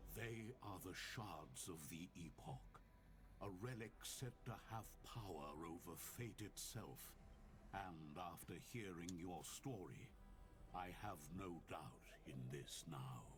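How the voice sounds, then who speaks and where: Through loud background noise, a man in a put-on character voice speaks at a fairly slow pace, his pitch very deep and low. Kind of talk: fantasy game narration. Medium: video game. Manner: solemn, earnest.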